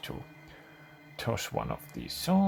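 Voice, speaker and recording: A man talking at a moderate pace over music in the background. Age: middle-aged. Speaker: gaming YouTuber. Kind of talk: gameplay commentary. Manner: halting, many fillers.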